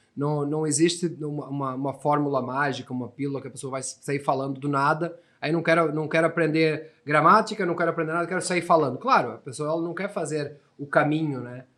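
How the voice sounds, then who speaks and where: A man's fairly high voice moves at a fairly quick pace with hardly any pauses. His intonation stays fairly even. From Portugal. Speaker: English teacher. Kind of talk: podcast interview.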